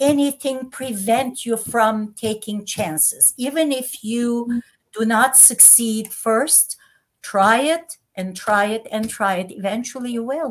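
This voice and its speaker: Speaking very slowly with a non-native accent, a woman uses a high pitch and ordinary pitch variation. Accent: foreign. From Turkey (Istanbul, Armenian). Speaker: entrepreneur and former politician. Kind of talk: interview.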